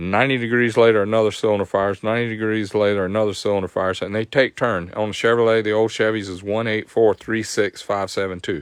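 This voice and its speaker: With a Southern US accent, a man speaks at a fairly low pitch. He talks at a fairly quick pace. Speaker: motorcycle performance tech host. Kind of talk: live stream tech tutorial. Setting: live stream.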